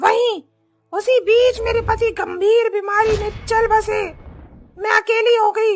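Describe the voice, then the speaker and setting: In a cartoonish character voice, a female-sounding voice talks at extremely high pitch and a fairly slow pace. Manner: fierce, threatening.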